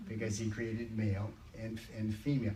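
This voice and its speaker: There is noticeable background noise and audible room echo as a man with a fairly low pitch speaks at a moderate pace. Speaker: church workshop leader. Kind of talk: church group teaching session. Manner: hesitant, repeats words.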